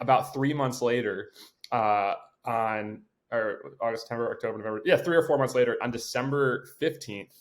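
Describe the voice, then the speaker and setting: A man speaks with a medium pitch. The recording is very clean, with a silent background. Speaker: basketball coach turned pro pickleball player. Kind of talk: podcast interview. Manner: fast.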